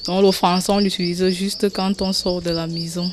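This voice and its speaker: A woman with a Cameroonian accent speaks in monotone, flat intonation. Noticeable background noise runs underneath. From Cameroon, Ewondo. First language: Ewondo (speaking French). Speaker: interviewee. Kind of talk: vox pop interview.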